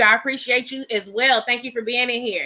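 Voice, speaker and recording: A woman speaks at a fairly quick pace in a bright, sharp tone with ordinary pitch variation. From California. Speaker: gossip commentary livestream host. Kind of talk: casual livestream chat. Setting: livestream with live chat. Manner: fast; animated.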